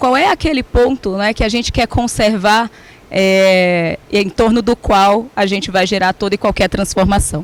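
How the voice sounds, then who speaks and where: The speaker talks at a fairly slow pace in a Ceará accent. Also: woman. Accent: Ceará (northeastern Brazilian). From Brazil, Ceará. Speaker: HR executive. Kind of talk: conference talk.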